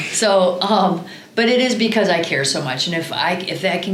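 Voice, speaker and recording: Through noticeable background noise and audible room echo, a woman speaks with a Midwestern American accent and ordinary pitch variation. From Iowa, Cedar Rapids. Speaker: college volleyball coach. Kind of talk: podcast interview.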